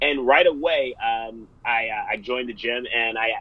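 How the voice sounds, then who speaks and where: Noticeable background noise sits behind a man with a New York accent who speaks at a medium pitch in an energetic, animated tone. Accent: American (New York). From US. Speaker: fitness studio owner and business coach. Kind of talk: interview.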